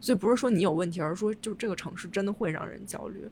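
A woman's somewhat breathy, medium-pitched voice at a very fast pace, with ordinary pitch variation. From China. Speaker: podcast host, urban designer. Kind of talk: casual chat.

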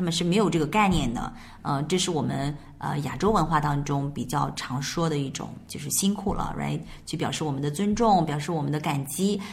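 Talking at a very fast pace, a woman with a Chinese accent has a very deep, low pitch and ordinary pitch variation. Audible room echo and noticeable background noise are present. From China. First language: Mandarin Chinese. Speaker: English teacher. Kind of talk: bilingual language lesson.

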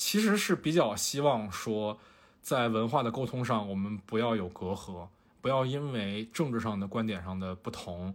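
At a moderate pace, a man speaks at a medium pitch with ordinary pitch variation on a very clean recording with a silent background. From Fujian, China. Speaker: podcast host and photographer. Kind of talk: casual chat.

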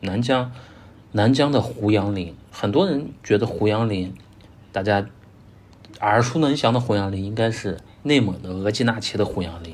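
At a moderate pace, a man with a fairly low, somewhat breathy voice and ordinary pitch variation speaks in a room with audible echo. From northwest China, Gansu. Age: 30s. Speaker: landscape photographer and photo tour leader. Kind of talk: podcast interview.

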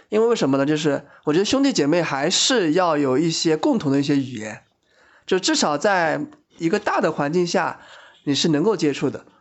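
Using an ordinary speaking voice, a man talks at a fairly high pitch and a fairly quick pace, with lively intonation and very even loudness. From Shanghai. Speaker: office worker, friend of host. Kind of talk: casual chat.

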